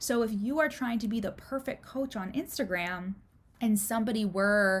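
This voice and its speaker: Female speech, somewhat breathy, its pitch varying in an ordinary way. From Canada. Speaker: life coach and podcast host. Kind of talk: solo podcast talk. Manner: casual, many fillers.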